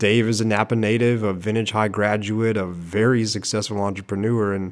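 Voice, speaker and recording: The man's voice sits at a fairly low pitch. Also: very clean recording, silent background. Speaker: newspaper podcast host. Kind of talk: casual interview.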